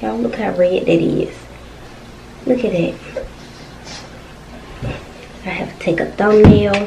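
There is light background noise as a woman talks at a moderate pace. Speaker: mukbang vlogger. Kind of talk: casual vlog chat. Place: home room.

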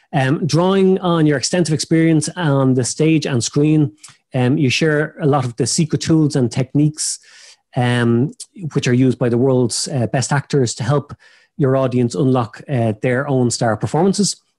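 A man's dark, mellow tone holds very even loudness. The background is quiet. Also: ordinary pitch variation, moderate pace. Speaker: podcast host. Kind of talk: introduction of a guest, partly read. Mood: friendly, light laughter. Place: office. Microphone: video call.

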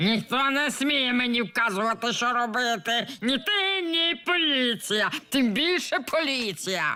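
Using a put-on character voice with an extremely high pitch, a man speaks fairly slowly with lively intonation and very even loudness. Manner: defiant.

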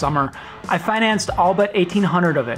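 Faint music plays in the background. A man speaks in a high voice with ordinary pitch variation. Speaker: motorcycle vlogger. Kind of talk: casual vlog chat. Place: home room.

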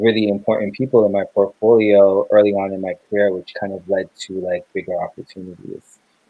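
The sound is dry with no echo and the background quiet as a man speaks at a fairly low pitch. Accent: Toronto. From Canada, raised in Brampton, Ontario; Ontario, Canada. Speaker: filmmaker and photographer; interview guest. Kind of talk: interview. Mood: relaxed, friendly. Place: home room. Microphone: video call.

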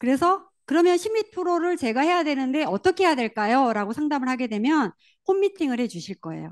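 At a moderate pace and in an animated tone, a woman speaks with a high pitch and very wide pitch swings, the sound dry and close with no echo over a quiet background. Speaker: network marketing leader. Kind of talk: motivational seminar talk.

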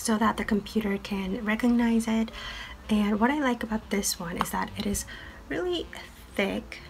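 A woman whispers over light background noise. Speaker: medical student. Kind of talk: tutorial talk to camera. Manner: whispered. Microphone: webcam.

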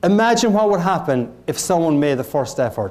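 In an Irish accent, a man speaks at a high pitch with very wide pitch swings. His pace is moderate. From Ireland. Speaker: motivational keynote speaker. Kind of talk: motivational keynote speech. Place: hall.

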